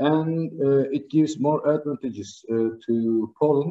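Speech comes at a very slow pace in a Turkish accent, with ordinary pitch variation over a quiet background. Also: man. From Turkey. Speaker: trade diplomat; speaker. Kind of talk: formal speech. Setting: online live video link. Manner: halting, many fillers. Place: home room. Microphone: video call.

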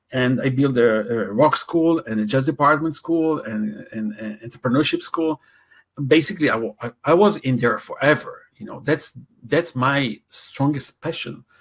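A man speaks at a moderate pace with a somewhat breathy, fairly high voice. His pitch varies in an ordinary way while his loudness swings widely. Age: 60s. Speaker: talent development coach. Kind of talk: interview. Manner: halting with many fillers.

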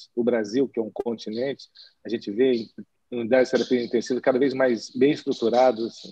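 Over a quiet background, a man speaks fairly quickly with fairly even intonation and a dark, mellow tone, the sound dry with no echo. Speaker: nephrologist and session host; panelist. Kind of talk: panel discussion. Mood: friendly, smiling. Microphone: webcam.

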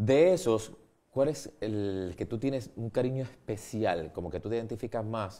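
Speaking at a moderate pace, a man with a fairly low voice and a dark, mellow tone uses lively intonation. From Puerto Rico. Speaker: TV show host. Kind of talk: TV interview. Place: studio.

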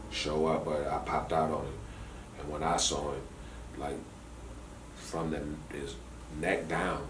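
Over noticeable background noise, a man speaks at a fairly slow pace in a very deep, low pitch. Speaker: caller. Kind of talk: casual phone conversation storytelling. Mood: amused, exaggerated storytelling. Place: office.

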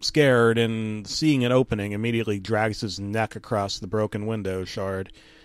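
Using a plain, everyday voice, a man at medium pitch talks at a moderate pace with hardly any pauses and big swings in loudness. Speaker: comedic creepypasta narrator. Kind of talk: deadpan creepypasta reading with ironic asides, mock-grave ghost story telling. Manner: mock-serious, dryly undercutting the horror with absurd interjections.

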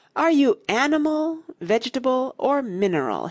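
A woman puts on a high-pitched character voice. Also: moderate pace. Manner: weary, yawning.

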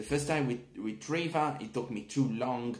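A man with an Italian accent, lively intonation and a moderate pace, in a room with audible echo. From Italy. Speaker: product reviewer. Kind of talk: video review. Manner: hesitant, many fillers. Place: home room. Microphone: phone near.

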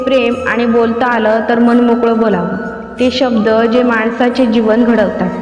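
Monotone, flat intonation from a woman, with music in the background. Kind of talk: devotional motivational narration in Marathi.

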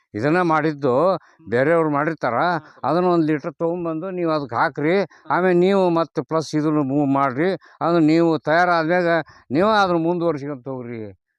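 A man with a normal speaking voice and fairly high pitch talks with ordinary pitch variation in a dry, close sound with no echo against a quiet background. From North Karnataka, Haveri district. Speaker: retired police officer turned farmer. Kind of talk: casual interview.

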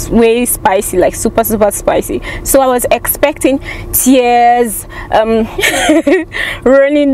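Light background noise sits under the voice. The sound is dry with no echo, and the pitch varies in an ordinary way. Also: woman. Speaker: food reviewer vlogger. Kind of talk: casual vlog chat. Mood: amused, chatty. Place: car. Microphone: phone near.

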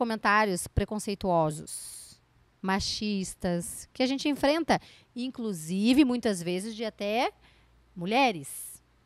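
Pitched fairly high, a woman speaks with very wide pitch swings and long, frequent pauses, in a dry sound with no echo against a quiet background. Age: 30s. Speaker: entrepreneur and speaker; speaker. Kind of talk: interview. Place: studio. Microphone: handheld.

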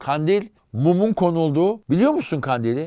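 Fairly high in pitch, a man talks in a plain, everyday voice with lively intonation. He goes at a fairly slow pace over a quiet background. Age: 50s. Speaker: historian and author. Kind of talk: casual chat.

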